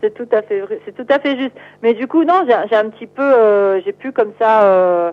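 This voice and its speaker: A woman's plain, everyday voice, fairly high in pitch, with lively intonation, big swings in loudness and a moderate pace. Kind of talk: interview.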